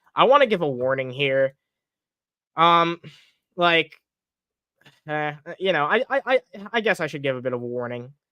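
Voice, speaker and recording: Mumbling at a moderate pace with long, frequent pauses, a man talks at a fairly high pitch with lively intonation. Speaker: streamer commenting on online personalities. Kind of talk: live stream commentary. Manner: mumbling, stumbling over words; casual, profane.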